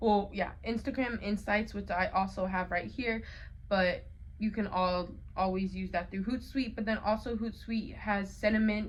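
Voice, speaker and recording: With an American accent, a woman speaks at a moderate pace with audible room echo. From Colorado, US. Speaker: college student vlogger. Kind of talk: casual vlog talk. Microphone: phone mic.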